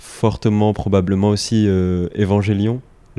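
Speaking at a fairly slow pace, a man with a fairly low pitch keeps his intonation fairly even, his tone dark and mellow. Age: 20s. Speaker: graphic designer. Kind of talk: casual chat. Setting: in person in Lille.

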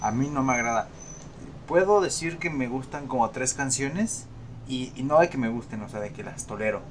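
This man has an unremarkable speaking voice, pitched at a medium level. He talks at a moderate pace with ordinary pitch variation. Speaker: podcast co-host. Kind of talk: casual chat.

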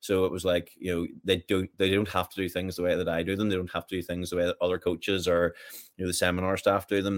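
The speech comes at a very fast pace in a Northern Irish accent. Its intonation stays monotone and flat. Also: man. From Northern Ireland, County Armagh. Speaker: fitness coach. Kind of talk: casual chat.

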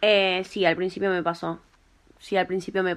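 Against a quiet background, a woman speaks in a Rioplatense accent at a moderate pace. Her fairly low voice stays monotone and flat. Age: 20s. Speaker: hair colorist and tattoo artist. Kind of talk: interview. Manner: hesitant, many fillers.

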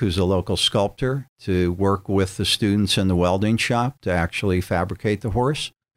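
A man with an American accent and an ordinary speaking voice talks at a fairly slow pace and a fairly low pitch with fairly even intonation, on a very clean recording with a silent background. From Erie, Pennsylvania, US. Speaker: public artist. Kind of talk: radio interview.

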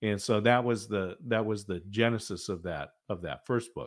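This man's fairly low voice moves at a moderate speed, its pitch varying in an ordinary way. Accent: American. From Oregon, US Northwest. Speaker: military veteran and author coach. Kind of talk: interview.

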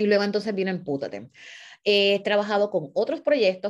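The pace is fairly quick. The speaker is a woman. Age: 40s. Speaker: nonprofit founder and former teacher. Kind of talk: monologue to followers. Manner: halting.

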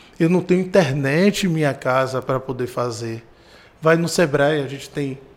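A man talks at a moderate pace. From Brazil, Salvador (Bahia). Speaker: regional business-support manager, economist. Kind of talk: podcast interview.

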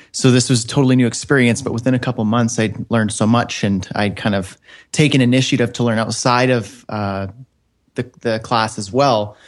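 A man in a normal speaking voice with a Canadian accent, medium in pitch, fairly quick, with fairly even intonation, against a quiet background. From northern Canada. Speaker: web developer and online course creator. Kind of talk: interview.

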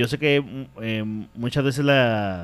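A man with a medium pitch delivers his words at a very slow pace. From Mexico, Ciudad Juárez. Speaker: comedian and podcast co-host. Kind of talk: casual chat.

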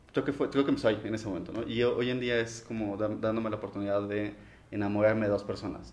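With audible room echo, a man speaks at a fairly low pitch in a monotone, flat intonation. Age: 30s. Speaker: office administrator. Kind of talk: casual chat.

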